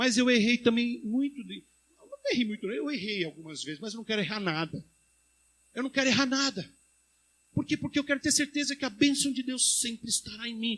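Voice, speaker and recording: A man's extremely high-pitched voice with lively intonation, a fairly quick pace, big swings in loudness, and long, frequent pauses. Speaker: pastor. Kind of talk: sermon. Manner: fast.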